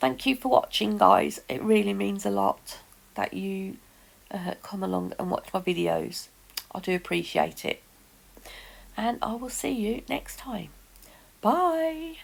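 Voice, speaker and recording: A woman speaking at a fairly slow pace with long, frequent pauses, over noticeable background noise. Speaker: nail art YouTuber. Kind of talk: tutorial.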